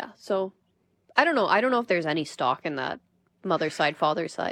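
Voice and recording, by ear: On a very clean recording with a silent background, a woman with a low pitch and a fairly bright tone talks at a fairly quick pace, using big pitch swings.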